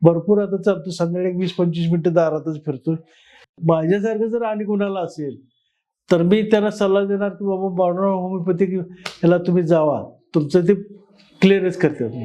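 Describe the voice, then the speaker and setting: A man's high-pitched voice with a dark, mellow tone and fairly even intonation. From Kolhapur district, Maharashtra. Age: 70s. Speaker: patient. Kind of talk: testimony. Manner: halting.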